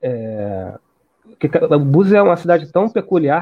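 This man speaks at a moderate pace in a fairly high pitch, with lively intonation. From Rio de Janeiro, Brazil. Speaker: researcher and author. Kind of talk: interview. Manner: halting, many repetitions.

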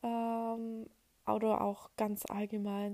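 A woman is speaking. Her tone is dark and mellow. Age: 20s. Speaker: podcast host. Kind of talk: solo monologue podcast. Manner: hesitant with many filler sounds.

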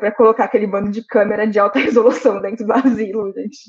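Noticeable background noise sits behind a woman speaking at a very fast pace. Her fairly high voice has a monotone, flat intonation. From Brazil, Santos. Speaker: podcast co-host, film critic. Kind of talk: casual chat.

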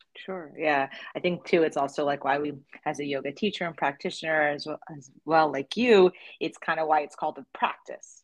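Against a quiet background, a woman with a very deep, low pitch talks at a fairly quick pace in an American accent, her loudness swinging widely. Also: ordinary pitch variation. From New Jersey. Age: 40s. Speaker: podcast host and yoga teacher. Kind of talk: podcast interview.

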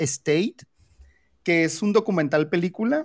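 A man with a high pitch and ordinary pitch variation talks fairly slowly. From Mexico. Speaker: podcast host. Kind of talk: casual chat.

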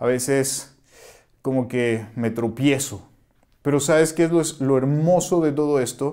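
The speaker is a man with a fairly high voice. Audible room echo surrounds his speech. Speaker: pastor. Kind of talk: sermon. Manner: conversational, with frequent fillers.

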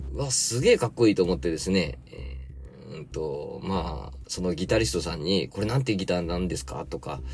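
Noticeable background noise sits behind a man whose very deep, low pitch makes very wide swings. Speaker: podcast host and gardener. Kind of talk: casual chat. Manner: chatty, filler-heavy.

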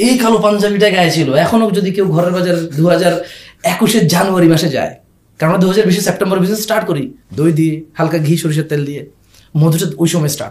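Audible room echo surrounds a voice whose pitch varies in an ordinary way. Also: man, high pitch for a man. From grew up abroad (Saudi Arabia), Bangladeshi family. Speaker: e-commerce founder. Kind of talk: casual interview. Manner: loud; animated.

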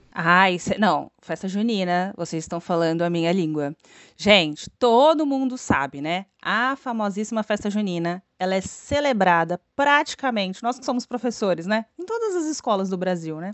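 An animated woman with a southeastern Brazilian accent talks at a moderate pace and medium pitch, her intonation lively. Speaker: podcast co-host, teacher. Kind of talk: casual educational chat.

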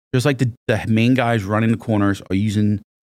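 A man with an American accent speaks in a normal speaking voice at a fairly low pitch and moderate pace. The sound is dry and close with no echo, in a very clean recording with a silent background. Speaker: police officer and narcotics instructor. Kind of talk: casual chat. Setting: studio.

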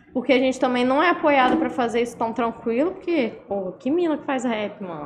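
Over noticeable background noise, a woman talks at a high pitch and a fairly quick pace, with very wide pitch swings and hardly any pauses. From Minas Gerais, Zona da Mata (Ubá). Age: 20s. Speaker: singer and rapper. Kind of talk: casual chat.

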